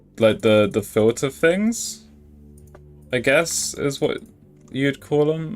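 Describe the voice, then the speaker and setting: Over music in the background, a man with a fairly high voice talks at a very slow pace, making very wide pitch swings and long, frequent pauses. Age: 20s. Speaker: gaming streamer. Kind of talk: casual live stream commentary. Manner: halting.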